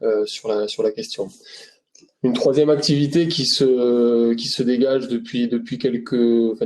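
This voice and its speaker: This man has a Toulouse accent and a dark, mellow tone at medium pitch. His intonation stays fairly even at a moderate pace. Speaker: RSE consultant. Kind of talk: webinar presentation. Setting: online webinar. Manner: hesitant, many fillers and repetitions.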